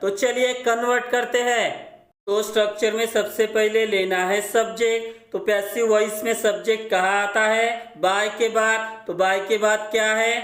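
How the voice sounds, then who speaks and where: Very slow speech from a man with a high pitch and fairly even intonation, plus audible room echo. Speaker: English grammar teacher. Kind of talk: tutorial.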